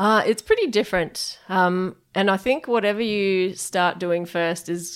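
Fairly slow speech from a woman, her pitch varying in an ordinary way. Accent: Australian. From Perth, Western Australia. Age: 30s. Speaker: head brewer. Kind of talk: interview. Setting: brewery offices.

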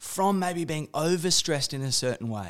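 A man speaks in an Australian accent with a high pitch and lively intonation. The recording is very clean, with a silent background. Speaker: podcast host, interviews his father. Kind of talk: casual conversation, interview.

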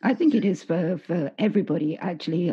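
A woman talks at a moderate pace in an unremarkable speaking voice. Her pitch is medium. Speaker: podcast host. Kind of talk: interview, conversational. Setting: remote call.

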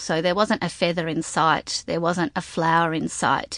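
This is a woman speaking. She talks with an Australian accent. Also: dry, close sound with no echo, quiet background. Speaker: milliner. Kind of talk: interview. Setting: studio.

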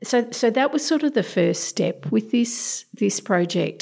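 Her tone is dark and mellow. The woman speaks with an Australian accent. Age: 50s. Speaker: domestic violence advocate. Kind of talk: interview.

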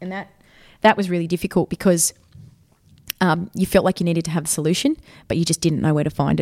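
A woman with an Australian accent has a fairly low pitch and a dark, mellow tone, captured in a very clean recording with a silent background and a dry, close sound with no echo. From Sydney, Australia. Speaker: football captain and PE teacher. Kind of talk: interview. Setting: school during lunch break.

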